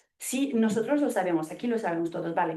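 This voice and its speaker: A woman speaks with lively intonation and a dark, mellow tone. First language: not Spanish (speaking Spanish). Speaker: evaluation consultant in international aid. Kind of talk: audience question at seminar. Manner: halting.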